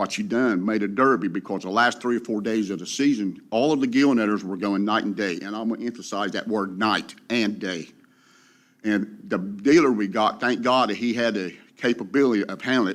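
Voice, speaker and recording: A man with a coastal North Carolina accent speaks at a fairly quick pace, fairly low in pitch with ordinary pitch variation. The recording is very clean, with a silent background. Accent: coastal North Carolina Southern. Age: 60s. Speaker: commercial fisherman. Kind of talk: public comment. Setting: public meeting.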